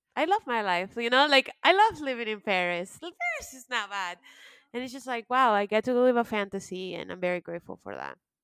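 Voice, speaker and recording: An unremarkable speaking voice from a woman with an American accent, fairly high and fairly quick, with lively intonation and big swings in loudness, dry and close with no echo on a very clean recording with a silent background. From United States. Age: 30s. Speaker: podcast co-host. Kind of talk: casual chat.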